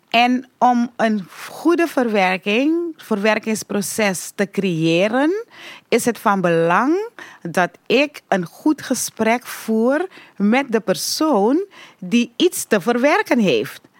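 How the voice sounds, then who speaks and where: A woman at a very slow pace and a fairly high pitch, with very wide pitch swings, very even loudness and a dry, close sound with no echo. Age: old. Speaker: Winti priestess. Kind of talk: interview. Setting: studio.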